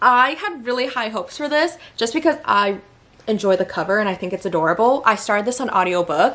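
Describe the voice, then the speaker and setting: A very fast, animated woman's voice, fairly high in pitch with very wide pitch swings, amid noticeable background noise. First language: Vietnamese. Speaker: book reviewer. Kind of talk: casual chat.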